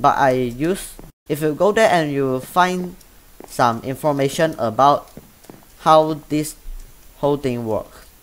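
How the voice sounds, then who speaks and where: In a Chinese accent, a man speaks at a very slow pace with long, frequent pauses, using a fairly high pitch and ordinary pitch variation. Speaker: gaming YouTuber. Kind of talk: tutorial. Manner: halting.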